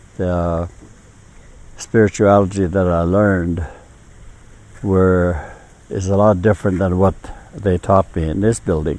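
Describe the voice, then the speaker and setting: A man with a very deep, low voice speaks in fairly even intonation, leaving long, frequent pauses. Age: 70s. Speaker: residential school survivor. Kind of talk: testimony. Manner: halting.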